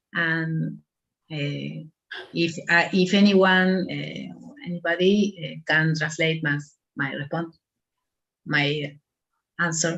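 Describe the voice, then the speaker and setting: Very slow and broken by long, frequent pauses, the speech has an Argentine accent and fairly even intonation. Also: woman, fairly low pitch for a woman. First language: Spanish. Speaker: agricultural researcher. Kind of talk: webinar Q&A. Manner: halting.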